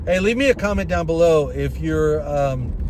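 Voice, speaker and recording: Noticeable background noise and audible echo from the room both come through in this recording. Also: man. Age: 60s. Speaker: gig worker and side hustle vlogger. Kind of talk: casual to-camera monologue and sales pitch. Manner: halting, with repetitions and fillers.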